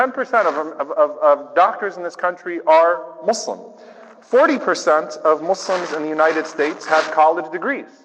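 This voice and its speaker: A man with an American accent and a high pitch speaks at a moderate pace. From US South, New Orleans. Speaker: imam. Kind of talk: speech. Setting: church with audience. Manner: conversational.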